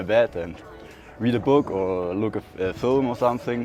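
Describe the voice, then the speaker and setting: Over music in the background, a man with a slight German accent talks at a fairly quick pace. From southern Germany. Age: 20s. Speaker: traveler, carpenter. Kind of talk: interview. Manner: halting, repeats words.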